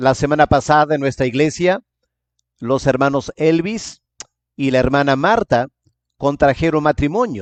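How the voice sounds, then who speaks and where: A man's fairly high voice at a fairly slow pace, with ordinary pitch variation, very even loudness, long and frequent pauses, and a dry, close sound with no echo. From England. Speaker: pastor. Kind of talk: sermon.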